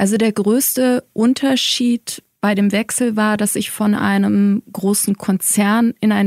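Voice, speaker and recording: With an ordinary speaking voice, a woman talks at a medium pitch and a fairly slow pace, her intonation fairly even and the sound dry and close with no echo. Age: 40s. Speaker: head of corporate communications at a publisher. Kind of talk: interview. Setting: studio at the publisher's office.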